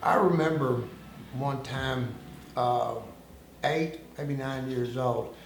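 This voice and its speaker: With a Southern US accent, a man speaks at a very slow pace with long, frequent pauses, medium pitch and fairly even intonation, amid noticeable background noise and audible room echo. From United States, military family moving around. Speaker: former undercover informant. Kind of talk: interview. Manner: hesitant, many fillers.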